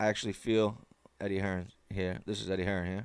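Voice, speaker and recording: In an American accent, a man speaks at a moderate pace with a fairly low pitch. His intonation is monotone and flat, and the recording is very clean with a silent background. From United States. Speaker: boxing commentator YouTuber. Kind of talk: casual commentary, partly reading an article aloud.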